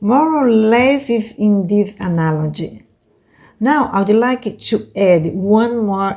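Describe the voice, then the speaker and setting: A woman talks at a very slow pace with lively intonation. Her voice is medium in pitch, with a dark, mellow tone. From Brazil. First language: Portuguese. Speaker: oracle card reader and teacher. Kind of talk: lecture. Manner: halting, with many fillers.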